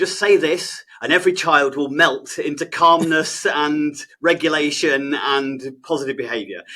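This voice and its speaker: A man's fairly high voice with an English accent, bright and sharp in tone, fairly even in intonation, at a moderate pace. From England. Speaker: behaviour specialist and trainer. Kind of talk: podcast interview. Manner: hesitant, many fillers.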